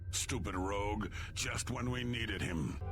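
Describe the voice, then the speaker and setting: A man puts on a character voice at a moderate pace while loud background noise plays. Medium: machinima. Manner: blunt, proud.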